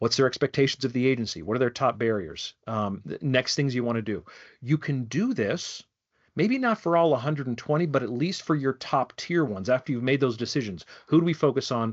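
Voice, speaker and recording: A man talks at a fairly quick pace with lively intonation. His pitch sits in the medium range. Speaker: wildlife program director giving a training. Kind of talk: online training presentation. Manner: fast.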